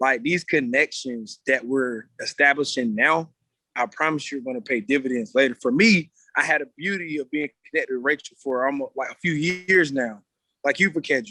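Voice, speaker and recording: The tone is energetic, bright and sharp. Pitch varies in an ordinary way at a moderate pace. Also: man, fairly high pitch for a man. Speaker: meeting leader for athlete mentoring group. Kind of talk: casual motivational talk on group video call. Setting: video call from his gym.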